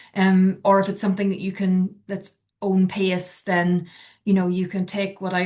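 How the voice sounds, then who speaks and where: A woman speaks with a Northern Irish accent. Her pace is fairly quick. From Northern Ireland. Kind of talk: informal, advisory. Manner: conversational, frequent filler words.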